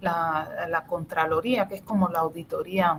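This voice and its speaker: At a fairly slow pace, a woman talks in an animated tone with a somewhat breathy voice. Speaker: professor. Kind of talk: lecture.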